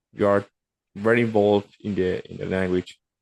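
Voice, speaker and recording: A man with a Spanish accent and a fairly low pitch. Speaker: remote worker, podcast guest. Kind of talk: casual interview chat. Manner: halting, with many repetitions.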